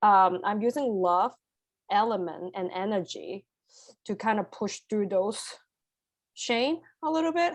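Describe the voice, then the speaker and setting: With a non-native accent, a woman speaks at a fairly slow pace and medium pitch, her intonation lively and her pauses long and frequent, against a quiet background. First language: not English. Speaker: energy healer in training. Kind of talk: live spiritual healing session. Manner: halting.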